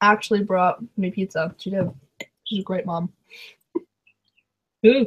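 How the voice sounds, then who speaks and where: Somewhat breathy and at medium pitch, a woman speaks at a fairly slow pace with long, frequent pauses, in a dry, close sound with no echo. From Canada. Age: 20s. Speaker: booktuber. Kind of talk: live stream chat. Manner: animated.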